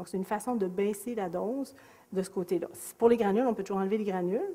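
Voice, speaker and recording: This is a woman with a Quebec accent. Her pitch sits in the medium range. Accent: Québécois French. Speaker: psychiatrist. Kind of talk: lecture. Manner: animated.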